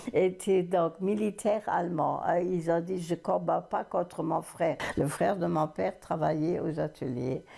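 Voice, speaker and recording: A woman speaks fairly slowly in a fairly low voice with vocal fry, keeping her loudness very even and hardly pausing. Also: ordinary pitch variation. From Moselle, France. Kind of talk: interview answer. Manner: hesitant.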